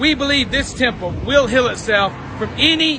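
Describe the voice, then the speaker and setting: A man's extremely high-pitched voice in an American accent, with noticeable background noise. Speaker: supplement salesman. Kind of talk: promotional pitch to camera. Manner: upbeat, fast, salesy.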